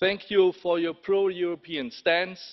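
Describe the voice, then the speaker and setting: With a German accent, a man speaks at a fairly slow pace in a high pitch. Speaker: politician. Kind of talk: parliamentary speech. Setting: parliament chamber.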